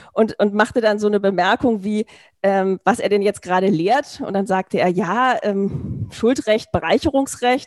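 A woman with a plain, everyday voice talks at a moderate pace, her medium pitch showing ordinary variation in a dry, close sound with no echo. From Berlin, Germany. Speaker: law professor. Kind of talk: interview conversation.

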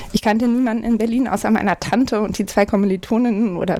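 A woman in an ordinary speaking voice, fairly high in pitch, with ordinary pitch variation and a fairly quick pace. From Hamburg, northern Germany. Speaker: party manager, lawyer. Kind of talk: interview. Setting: home office.

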